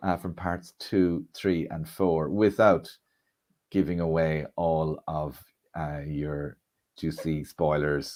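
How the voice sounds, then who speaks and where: A man with an Irish accent speaks with a very deep, low pitch. The recording is very clean, with a silent background. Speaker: comedian and event MC. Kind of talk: live stream launch event hosting. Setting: live stream.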